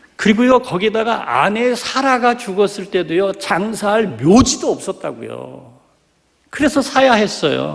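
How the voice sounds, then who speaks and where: This man's voice is high-pitched and lively in intonation. He talks fairly slowly. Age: 60s. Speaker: pastor. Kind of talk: sermon. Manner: animated.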